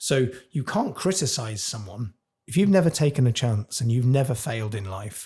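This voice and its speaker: Heard in a very clean recording with a silent background, a somewhat breathy man at a medium pitch talks at a moderate pace, his dark, mellow tone moving through very wide pitch swings. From Cornwall, England. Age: 40s. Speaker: chef. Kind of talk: podcast interview. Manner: animated.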